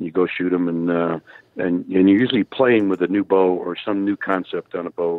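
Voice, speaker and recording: The man's pitch is very deep and low, and he talks at a moderate speed. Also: fairly even intonation. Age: 70s. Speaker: archery company owner. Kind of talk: interview. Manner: halting, many fillers.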